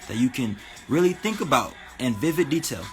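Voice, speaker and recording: Noticeable background noise runs behind a man's voice. He talks at a fairly quick pace in an animated tone. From New Mexico, Albuquerque. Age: 20s. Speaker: spirituality livestreamer. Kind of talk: casual livestream talk.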